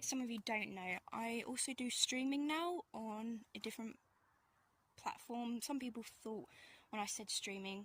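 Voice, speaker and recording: A woman talks with an English accent. Her pace is moderate. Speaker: vlogger. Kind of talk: casual vlog narration. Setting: outdoors in woodland.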